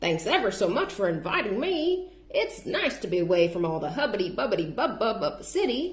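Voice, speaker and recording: A woman puts on a character voice at a fairly high pitch, swinging her pitch very widely and talking fairly quickly with hardly any pauses over light background noise. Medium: read story.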